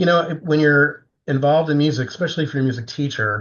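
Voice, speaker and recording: A somewhat breathy voice with an American accent. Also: man. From Florida. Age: 70s. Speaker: composer. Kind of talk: interview.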